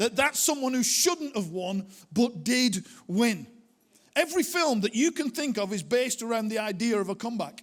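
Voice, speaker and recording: With a strong Lancashire accent, a man talks at a moderate pace in an extremely high voice with lively intonation. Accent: strong northern English (Bolton). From northern England, Bolton area. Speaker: pastor, church movement leader. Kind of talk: sermon. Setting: church with audience.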